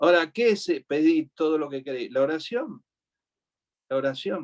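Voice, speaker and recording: A man talks at a moderate pace in an Argentine accent, his pitch fairly high and his intonation lively. The sound is dry and close with no echo. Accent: Rioplatense Argentine Spanish. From Argentina, Buenos Aires. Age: 60s. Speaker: preacher. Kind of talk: sermon.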